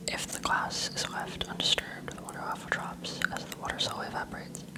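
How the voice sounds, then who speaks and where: Noticeable background noise sits behind a woman whispering at a fairly quick pace. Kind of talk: textbook reading aloud. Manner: soft-spoken.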